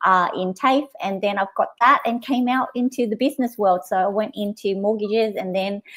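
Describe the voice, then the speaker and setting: At a moderate pace and with hardly any pauses, a woman speaks in a fairly high voice with ordinary pitch variation. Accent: Australian. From Australia (Sydney), born in Vietnam. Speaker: business coach. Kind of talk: casual chat. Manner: halting, many fillers.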